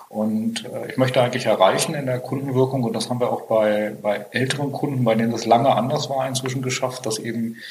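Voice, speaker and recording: With fairly even intonation and a medium pitch, a man delivers his words at a moderate pace through noticeable background noise. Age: 50s. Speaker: IT company founder and managing director. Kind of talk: interview. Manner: frequent hesitations.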